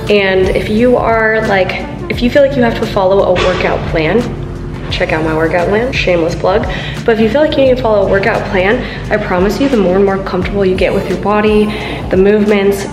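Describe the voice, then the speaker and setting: A woman speaks at a fairly quick pace over clear background music. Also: ordinary pitch variation. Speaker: fitness vlogger. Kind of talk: casual vlog chat. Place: gym. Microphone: phone near.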